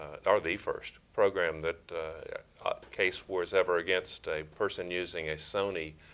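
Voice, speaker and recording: At a moderate pace, a man talks in an East Texas accent. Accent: East Texas Southern US. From East Texas, Crockett. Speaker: prosecutor and former judge. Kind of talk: interview.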